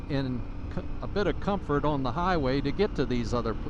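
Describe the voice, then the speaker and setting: A man at a fairly slow pace with ordinary pitch variation, plus audible room echo. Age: 70s. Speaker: motorcycle vlogger. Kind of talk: casual vlog monologue while riding. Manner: halting, many uh fillers.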